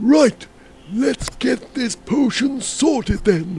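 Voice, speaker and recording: A man's put-on character voice, extremely high in pitch, with lively intonation and a very slow pace. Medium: video game.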